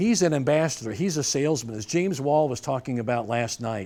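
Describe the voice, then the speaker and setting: A man with a normal speaking voice, fairly high pitch, lively intonation and an American accent. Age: 60s. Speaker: judo instructor and referee. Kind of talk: seminar lecture. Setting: dojo seminar with audience. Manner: conversational, with false starts.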